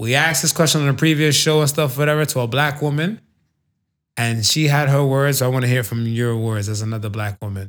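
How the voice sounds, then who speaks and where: The speech moves at a very fast pace with ordinary pitch variation. It is captured on a very clean recording with a silent background. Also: man, medium pitch for a man. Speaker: podcast host. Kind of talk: casual banter podcast chat. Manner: laid-back, joking, profane.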